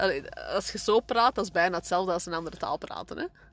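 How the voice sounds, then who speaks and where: A woman talks at a very fast pace. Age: 30s. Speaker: podcast co-host, mother. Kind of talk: casual chat.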